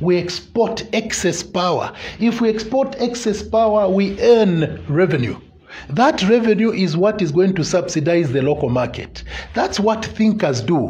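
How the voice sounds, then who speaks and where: This man speaks at a moderate pace with lively intonation. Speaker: politician guest. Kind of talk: interview answer. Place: studio. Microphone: lapel.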